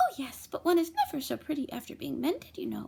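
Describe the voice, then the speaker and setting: This female-sounding put-on character voice is extremely high-pitched and races along at a very fast pace. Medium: read story.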